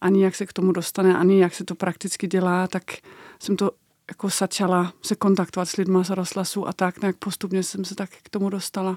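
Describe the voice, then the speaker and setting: A woman with a Danish accent speaks at a fairly quick pace and medium pitch, her intonation monotone and flat but her loudness swinging widely, in a dry, close sound with no echo on a very clean recording with a silent background. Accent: Danish accent in Czech. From Denmark. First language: Danish (speaking Czech). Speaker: documentary maker. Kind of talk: interview.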